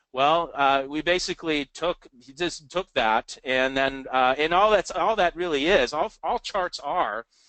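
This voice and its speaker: A man with a fairly high pitch talks fairly slowly with hardly any pauses. His tone is bright and sharp, and the sound is dry and close with no echo. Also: ordinary pitch variation. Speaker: trading educator. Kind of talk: live webinar presentation. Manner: halting, many fillers.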